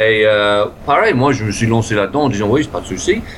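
Over noticeable background noise, a man with an English accent talks at a fairly quick pace with ordinary pitch variation. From England. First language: English (speaking French). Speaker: improv actor and teacher. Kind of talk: interview. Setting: video call.

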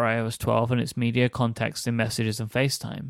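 A man with an unremarkable speaking voice talks at medium pitch and a fairly quick pace. The sound is dry and close, with no echo. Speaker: audiobook narrator. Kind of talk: scripted narration. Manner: formal.

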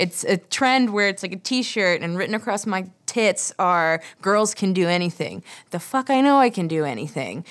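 On a very clean recording with a silent background, a woman uses a plain, everyday voice of medium pitch, with lively intonation at a moderate pace. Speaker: podcast host. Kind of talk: casual chat.

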